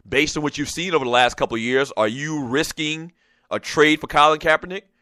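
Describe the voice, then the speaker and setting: Heard as a dry, close sound with no echo, a man speaks very fast at a fairly high pitch, his bright, sharp tone showing ordinary pitch variation. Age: 40s. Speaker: sports talk radio host. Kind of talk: casual sports talk show. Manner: filler-heavy, frequent uh and um; animated.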